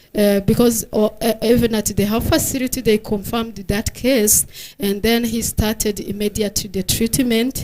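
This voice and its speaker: A woman's fairly high-pitched voice, dark and mellow in tone, with monotone, flat intonation at a moderate pace. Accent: Rwandan. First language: Kinyarwanda. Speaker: health researcher. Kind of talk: conference presentation. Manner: halting, many fillers.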